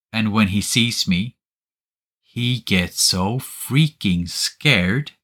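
With a Swedish accent, a man speaks in a fairly low pitch and a bright, sharp tone, his pitch varying in an ordinary way, the sound dry and close with no echo on a very clean recording with a silent background. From Sweden. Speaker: podcast co-host, miniature painter. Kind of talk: casual chat.

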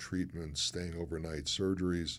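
Recorded very cleanly against a silent background, a man with an American accent and a very deep, low pitch talks at a moderate pace with fairly even intonation. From Chicago, US Midwest. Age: 60s. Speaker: former pro football player, magazine founder, broadcaster. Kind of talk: casual interview chat.

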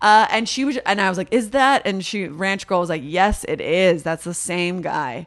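A woman with a Californian accent speaks in a medium pitch, her tone animated and her intonation lively. She keeps a moderate pace with hardly any pauses. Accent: Californian American English. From Los Angeles, San Fernando Valley. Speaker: comedic actor and improviser. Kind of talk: casual chat.

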